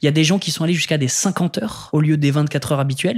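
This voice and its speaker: At a very fast pace, a man speaks somewhat breathily with ordinary pitch variation. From northern France, Lille suburbs. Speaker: public affairs director and lecturer. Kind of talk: interview. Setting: studio.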